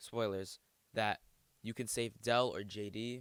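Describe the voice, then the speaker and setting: A man speaks with monotone, flat intonation. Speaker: gaming YouTuber. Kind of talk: casual commentary vlog. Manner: halting, filler-heavy.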